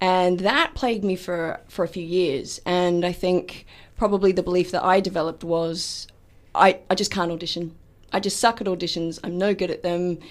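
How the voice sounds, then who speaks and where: A woman speaks at a moderate pace with an Australian accent, her pitch medium and her intonation fairly even. The recording is very clean, with a silent background. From Australia, Melbourne. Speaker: actor and hypnotherapist. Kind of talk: radio interview. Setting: radio studio.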